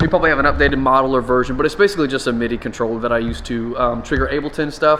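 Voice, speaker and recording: Amid noticeable background noise, a man talks at a very fast pace. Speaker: church drummer and drum vlogger. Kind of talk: casual vlog. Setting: studio.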